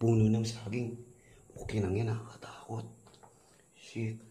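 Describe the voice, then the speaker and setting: A soft-spoken man talking at a very slow pace, with audible room echo. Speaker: vlogger. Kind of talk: ghost-hunting vlog narration. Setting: outdoors at night, abandoned resort. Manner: soft, weak voice.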